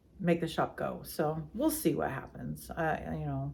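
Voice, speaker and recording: Speech at a very slow pace is heard with audible room echo. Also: woman. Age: 60s. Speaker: yarn dyer and shop owner. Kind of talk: casual podcast chat.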